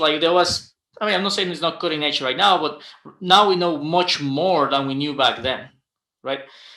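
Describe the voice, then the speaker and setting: A bright, sharp tone marks the man's speech. His pitch rises and falls an ordinary amount. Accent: Guatemalan. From Guatemala. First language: Spanish. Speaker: aerospace engineer. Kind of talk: panel discussion. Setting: livestream. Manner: halting, many fillers and repetitions.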